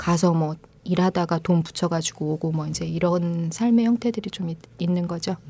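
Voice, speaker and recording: A woman speaks at a moderate pace in a somewhat breathy voice with a dark, mellow tone. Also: fairly low pitch for a woman, fairly even intonation. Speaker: fair trade coffee team leader. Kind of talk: casual interview chat.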